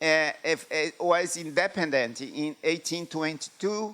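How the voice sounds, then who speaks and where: Talking fairly slowly in a Brazilian Portuguese accent, a man has a fairly high pitch and a bright, sharp tone. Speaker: epidemiology professor. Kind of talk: lecture. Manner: halting, many fillers.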